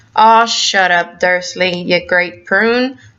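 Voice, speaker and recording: A woman puts on a character voice at a medium pitch. She talks at a very slow pace. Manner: gruff, dismissive.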